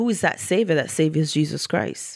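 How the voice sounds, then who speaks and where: Her voice sits very deep and low for a woman. This woman's speech carries vocal fry. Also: very clean recording, silent background. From Antigua and Barbuda, Eastern Caribbean. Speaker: women's ministry leader. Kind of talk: testimony.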